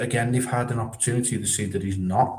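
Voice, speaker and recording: A somewhat breathy voice with audible room echo. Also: man. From northern England, Widnes near Liverpool. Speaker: football live streamer. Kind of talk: casual chat, reading live chat comments.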